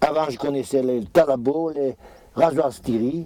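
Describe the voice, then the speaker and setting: Against noticeable background noise, a man of medium pitch talks at a fairly slow pace. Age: 70s. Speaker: retired farmer. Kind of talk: interview, demonstration. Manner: halting.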